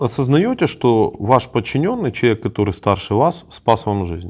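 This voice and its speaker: A man at a fairly slow pace with very wide pitch swings, on a very clean recording with a silent background. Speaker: journalist interviewing prisoners of war. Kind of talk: interview questions.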